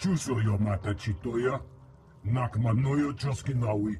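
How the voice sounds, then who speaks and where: Over clear background noise, a man puts on a character voice at a medium pitch. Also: moderate pace. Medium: video game. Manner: speaks an alien language.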